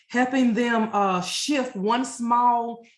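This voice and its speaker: Somewhat breathy, a woman talks with an American accent. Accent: Louisiana accent, comes out when nervous. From Louisiana, US South. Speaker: Army veteran, transition counselor and life coach. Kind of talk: webinar presentation. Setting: online webinar.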